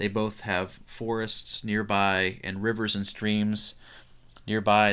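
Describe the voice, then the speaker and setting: Fairly low in pitch, a man's bright, sharp tone comes with flat, monotone intonation at a very slow pace. The recording is very clean, with a silent background. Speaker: podcast co-host. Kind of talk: casual podcast conversation about poetry.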